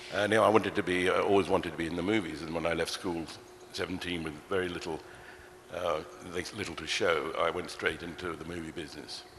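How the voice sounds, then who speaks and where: A very fast, very deep, low-pitched male voice in a monotone, flat intonation, with audible room echo and noticeable background noise. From England, London (Ealing). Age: 70s. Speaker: film producer. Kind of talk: on-stage interview. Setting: stage with audience. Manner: hesitant, many fillers. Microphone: too far from the mic at first.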